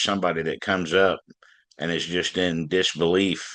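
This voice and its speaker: Very deep, low-pitched male voice in a Southern US accent, bright and sharp in tone, at a moderate pace over a quiet background. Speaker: blues band frontman and harmonica player. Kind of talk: interview.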